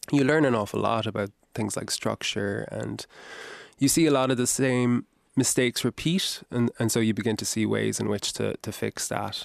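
With a Kerry accent, a man speaks at a moderate pace in a dry, close sound with no echo. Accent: Kerry Irish. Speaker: novelist. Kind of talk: radio interview. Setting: studio.

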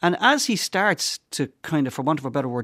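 A man with a Dublin accent, fairly high pitch, lively intonation and a fairly quick pace, in a dry, close sound with no echo on a very clean recording with a silent background. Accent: Dublin Irish. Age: 50s. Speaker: priest. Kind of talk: casual chat. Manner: halting.

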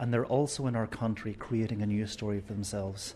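A man with an Irish accent talks at a moderate pace. His pitch sits in the medium range, and his intonation is fairly even. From Ireland. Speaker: priest running a migrant drop-in centre. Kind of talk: interview. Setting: drop-in centre in Cork. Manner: halting, many fillers.

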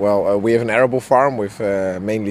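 With a Dutch accent, a man talks at a fairly low pitch and fairly even intonation over noticeable background noise. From Netherlands. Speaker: farmer. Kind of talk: interview. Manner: halting.

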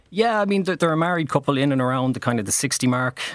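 Speaking very fast with a western Irish accent, a man shows ordinary pitch variation. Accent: Irish (west of Ireland). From Ireland, Galway/Mayo. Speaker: playwright. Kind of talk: radio interview. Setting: radio studio.

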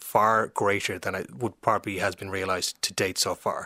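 On a very clean recording with a silent background, a man with an Irish accent talks at fairly low pitch with fairly even intonation. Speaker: historian and author. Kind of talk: interview about history. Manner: repeats words often.

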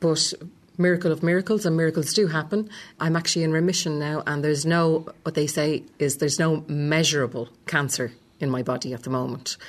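A woman with a Dublin accent talks at a fairly quick pace in a very deep, low voice, with ordinary pitch variation. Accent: Dublin Irish. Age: 40s. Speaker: cancer survivor and former school secretary. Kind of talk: testimony; talk to students.

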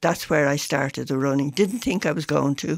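A woman with a Dublin accent speaks at a fairly slow pace. Her pitch is very deep and low with ordinary variation, and the sound is dry and close with no echo. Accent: Dublin Irish. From Ireland, Dublin (Foxrock). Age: 70s. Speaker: runner with Parkinson's. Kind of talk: radio interview. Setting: radio studio.

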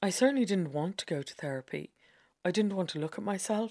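A woman's fairly low voice in an Irish accent, on a very clean recording with a silent background and a dry, close sound with no echo. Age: middle-aged. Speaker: essayist. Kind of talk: scripted narration.

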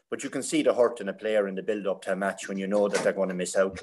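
Someone with an Irish accent speaks at a very fast pace. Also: man. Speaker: hurling pundit, former player. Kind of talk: casual chat.

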